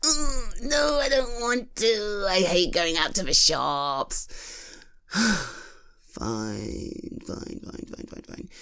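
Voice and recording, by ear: A woman puts on a character voice at a medium pitch, speaking at a very slow pace with lively intonation and a fairly bright tone.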